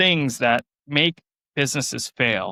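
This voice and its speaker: Loud and bright with a sharp tone, a man speaks at a fairly high pitch on a very clean recording with a silent background. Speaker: farmer and small business owner. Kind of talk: interview conversation. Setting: podcast interview. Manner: animated.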